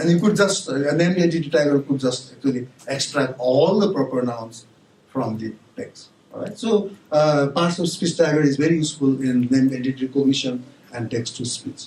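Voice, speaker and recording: A fairly quick delivery with a Nepali accent and noticeable background noise. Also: man, fairly high pitch for a man, ordinary pitch variation. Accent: non-native English, Nepali. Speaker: university professor. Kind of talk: conference talk. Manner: halting, many fillers and restarts.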